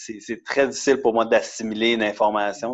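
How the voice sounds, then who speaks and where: Speaking at a moderate pace, a man has an unremarkable speaking voice, a medium pitch and fairly even intonation. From Quebec, Montreal and Laval. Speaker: CrossFit athlete, office worker. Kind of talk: casual interview.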